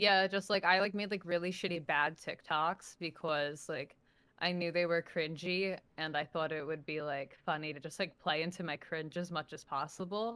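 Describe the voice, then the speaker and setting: A woman's fairly low voice with a New York accent, bright, sharp tone and fairly even intonation. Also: moderate pace. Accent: heavy New York. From New Jersey, near New York City. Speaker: social media personality. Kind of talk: interview. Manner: casual, filler-heavy.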